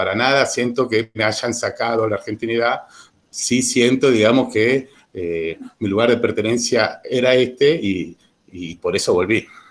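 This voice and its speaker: A man talks fairly slowly at a medium pitch, varying it in an ordinary way. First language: Italian (speaking Spanish). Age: 40s. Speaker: witness giving testimony. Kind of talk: personal testimony to students. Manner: hesitant, many repetitions.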